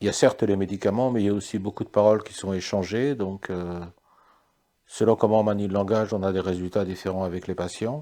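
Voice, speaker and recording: Over a quiet background, a man speaks in a fairly low, dark, mellow voice with fairly even intonation. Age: 60s. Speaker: psychiatrist. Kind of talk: interview. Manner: halting.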